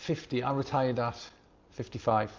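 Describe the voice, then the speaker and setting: Here a man speaks with a Sunderland accent in a monotone, flat intonation. The background is quiet. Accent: Sunderland (Mackem) English. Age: 60s. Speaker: YouTube livestreamer, expat retiree. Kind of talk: casual live stream chat reading viewer comments. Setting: live stream from home.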